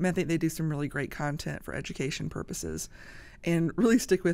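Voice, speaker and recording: This woman talks very fast with a Southern US accent and vocal fry. Her pitch is very deep and low, with ordinary pitch variation. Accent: Southern US (Georgia). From US South, Georgia. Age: 50s. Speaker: social media creator; podcast guest. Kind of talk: casual chat. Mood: earnest, emotional at times. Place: studio. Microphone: studio mic.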